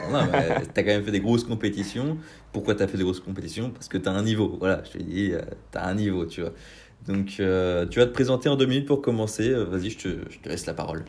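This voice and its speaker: Delivered at a very fast pace, the speech has ordinary pitch variation and big swings in loudness. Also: man, fairly low pitch for a man. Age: 20s. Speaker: podcast host. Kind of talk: casual interview. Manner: casual, hesitant with many fillers.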